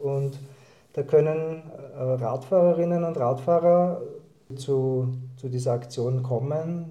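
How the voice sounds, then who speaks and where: The voice has a dark, mellow tone, is somewhat breathy, keeps a fairly even intonation, and carries audible room echo. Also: man. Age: 40s. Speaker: district councillor and local politician. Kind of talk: casual interview. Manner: halting, repeats words and uses fillers.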